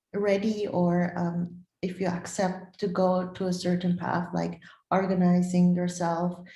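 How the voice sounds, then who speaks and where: A woman's fairly low, dark and mellow voice, somewhat breathy, monotone and flat, at a fairly slow pace. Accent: non-native. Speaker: bodybuilder and former track athlete. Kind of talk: interview. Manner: halting.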